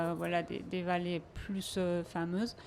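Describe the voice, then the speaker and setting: In a very clean recording with a silent background, a woman talks at a very slow pace in a monotone, flat intonation. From Aosta Valley, Italy. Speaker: travel agency manager. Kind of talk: radio interview. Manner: hesitant, many fillers.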